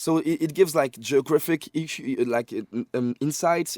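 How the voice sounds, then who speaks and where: Dry and close with no echo, the very clean recording has a silent background and a man with a dark, mellow tone. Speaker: music industry guest. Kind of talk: podcast interview. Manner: fast; animated.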